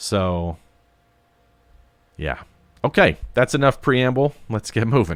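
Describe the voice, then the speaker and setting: The sound is dry and close with no echo. A man speaks with ordinary pitch variation. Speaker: podcast host. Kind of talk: solo podcast monologue. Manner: halting, many fillers.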